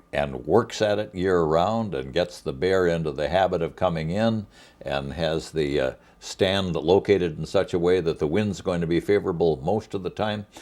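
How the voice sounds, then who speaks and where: The pitch varies in an ordinary way. Vocal fry comes through. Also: man, very clean recording, silent background. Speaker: TV show host, interviewer. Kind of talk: interview questions.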